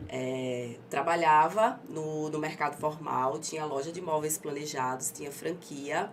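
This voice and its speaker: With hardly any pauses, a woman talks at a very deep, low pitch amid audible room echo. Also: ordinary pitch variation, fairly slow pace. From Aracaju, Sergipe, Brazil. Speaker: entrepreneur, tanning business owner. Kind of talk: interview. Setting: studio. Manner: articulate, trained speaker.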